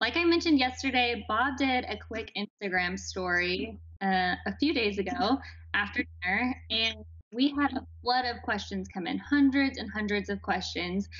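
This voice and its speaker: A woman talks at a moderate pace. The background is quiet. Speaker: marketing director and moderator. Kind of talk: live Q&A moderation. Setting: studio. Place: home room. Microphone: video call.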